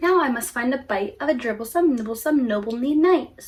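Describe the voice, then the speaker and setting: A woman puts on a character voice at a high pitch. She speaks at a fairly quick pace. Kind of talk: bedtime story. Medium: read story.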